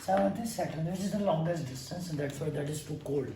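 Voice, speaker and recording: A man is speaking here. The room echo is audible, and background noise is noticeable. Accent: Indian. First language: Hindi. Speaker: astrologer. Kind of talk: lecture. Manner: halting.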